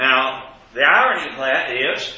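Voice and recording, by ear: In a Southern US accent, a man with a medium pitch speaks fairly slowly with lively intonation and a bright, sharp tone amid strong room echo.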